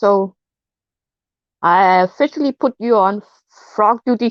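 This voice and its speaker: A woman with a Danish accent speaks with lively intonation, her sound dry and close with no echo. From Denmark. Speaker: live streamer. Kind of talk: casual chat. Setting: live stream chat. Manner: halting, repeats words.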